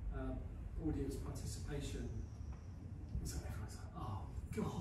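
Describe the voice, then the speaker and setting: A man's voice comes with audible room echo and noticeable background noise. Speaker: poet performing his own poem. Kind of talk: poem reading, light-hearted comic verse performed live after a chatty introduction. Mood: light-hearted, slightly hesitant. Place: hall. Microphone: camera far.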